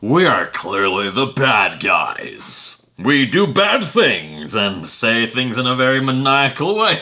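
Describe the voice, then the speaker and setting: Doing a put-on character voice, a man speaks at a medium pitch with very wide pitch swings. His pace is fairly slow, with hardly any pauses. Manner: maniacal, exaggerated.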